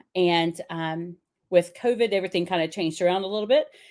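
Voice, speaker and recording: Recorded very cleanly against a silent background, a woman speaks in a fairly low pitch with a Southern US accent. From US South, upstate South Carolina (Pickens). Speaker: teacher. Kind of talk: casual chat.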